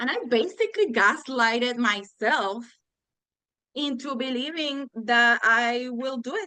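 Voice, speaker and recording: A woman's high, bright, sharp voice at a fairly slow pace with ordinary pitch variation. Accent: Spanish. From Puerto Rico. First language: Spanish. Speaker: law graduate retaking bar exam. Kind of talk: interview conversation. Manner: halting, self-correcting.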